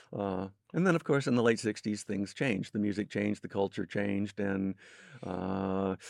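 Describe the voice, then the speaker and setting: A man at a moderate pace with ordinary pitch variation, a dry, close sound with no echo and a quiet background. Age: 60s. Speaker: music historian. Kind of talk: interview.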